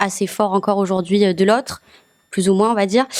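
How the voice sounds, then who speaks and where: A woman speaks with fairly even intonation. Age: 20s. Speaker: journalism student, newspaper reader. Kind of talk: asking questions in an interview. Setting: video studio. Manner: hesitant, many fillers.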